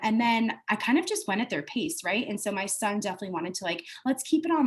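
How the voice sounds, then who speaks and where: A woman speaks at a fairly quick pace with lively intonation and a somewhat breathy voice. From US, born in Italy. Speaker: homeschooling parent. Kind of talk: testimonial interview. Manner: casual, many filler words.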